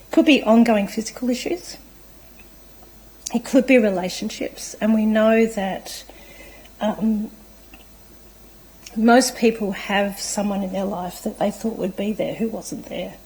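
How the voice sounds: Using a put-on character voice that is hoarse and fairly high-pitched, a woman speaks at a fairly slow pace with ordinary pitch variation and long, frequent pauses.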